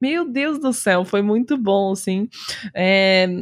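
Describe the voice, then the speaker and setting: A woman speaks very slowly in a fairly high pitch that varies in an ordinary way. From Rio Grande do Sul, Brazil (Osório). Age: 20s. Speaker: streamer. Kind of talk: casual chat.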